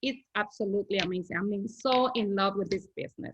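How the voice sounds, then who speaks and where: A woman with a Spanish accent, a medium pitch and fairly even intonation. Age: 30s. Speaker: network marketing distributor. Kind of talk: online sales presentation.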